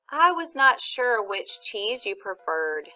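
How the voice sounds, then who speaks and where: A woman's squeaky, put-on character voice, high in pitch, with very wide pitch swings and a fairly slow pace. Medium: read story.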